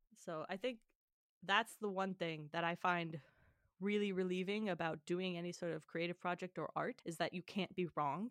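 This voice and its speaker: Dry and close with no echo, a woman's normal speaking voice with an American accent comes at a moderate pace, with a fairly low pitch and fairly even intonation. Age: 20s. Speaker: podcast co-host. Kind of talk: casual chat.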